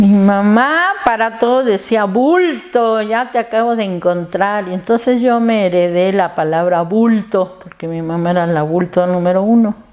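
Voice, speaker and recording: With noticeable background noise behind her, a woman talks at a fairly slow pace with hardly any pauses. Her medium-pitched voice shows ordinary pitch variation. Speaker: family member interviewee. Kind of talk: documentary interview.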